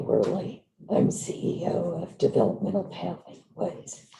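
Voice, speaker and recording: In a put-on character voice, a woman sounds hoarse, gravelly and raspy as she speaks at a fairly slow pace. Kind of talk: formal introduction.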